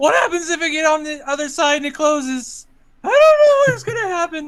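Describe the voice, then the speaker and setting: Someone uses a squeaky, high-pitched put-on character voice at a fairly quick pace. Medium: actual play. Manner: says like a lot.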